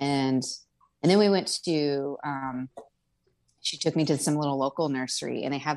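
Over a quiet background, a woman with an American accent speaks at a moderate pace with a very deep, low pitch and fairly even intonation. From Riverside, Southern California. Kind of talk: casual chat.

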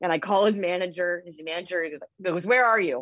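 A woman's fairly low-pitched, normal speaking voice at a moderate pace, with a dry, close sound and no echo. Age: 40s. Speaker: cannabis dispensary owner. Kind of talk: casual interview.

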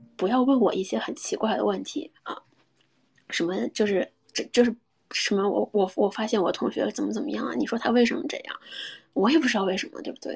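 A woman with a fairly high voice and vocal fry talks at a fairly quick pace with lively intonation. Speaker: sex and relationships podcast host. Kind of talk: casual live-stream chat. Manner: casual, many fillers.

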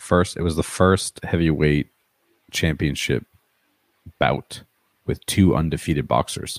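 Heard in a dry, close sound with no echo, the voice has vocal fry and ordinary pitch variation, moving at a fairly slow pace with long, frequent pauses. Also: man, very deep, low pitch for a man. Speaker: podcast host. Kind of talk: casual chat.

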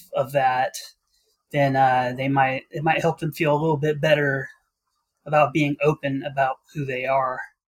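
With a monotone, flat delivery, a somewhat breathy man speaks in a dry, close sound with no echo. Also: fairly high pitch for a man, moderate pace. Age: 30s. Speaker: podcast listener and patron. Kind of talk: casual chat.

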